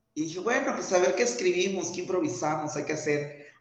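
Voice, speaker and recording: A man speaks at a high pitch with ordinary pitch variation. Audible room echo is heard around his voice. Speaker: actor and theatre maker. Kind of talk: interview conversation.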